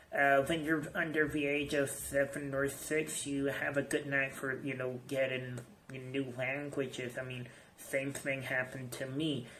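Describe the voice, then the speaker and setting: A man's fairly high, monotone voice at a fairly slow pace, with noticeable background noise. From Iran. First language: Persian. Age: 20s. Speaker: English teacher. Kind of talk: personal video message. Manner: halting, many fillers.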